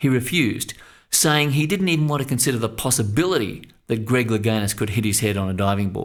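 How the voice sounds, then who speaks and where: The speaker is a man with a plain, everyday voice at medium pitch. He moves at a fairly quick pace with lively intonation. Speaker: mental coach and sports psychology narrator. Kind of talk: instructional audio coaching narration.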